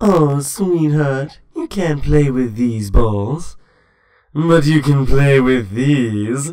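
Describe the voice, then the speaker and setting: This man puts on a character voice pitched fairly high. He speaks at a very slow pace. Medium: fan dub. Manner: flirtatious, sultry, dramatic.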